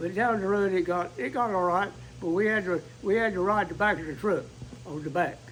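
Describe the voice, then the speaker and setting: A man with a high voice speaks in an eastern North Carolina accent. His pace is fairly quick and his pitch varies in an ordinary way. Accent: Southern US (eastern North Carolina). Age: 80s+. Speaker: volunteer firefighter. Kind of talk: interview. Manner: halting.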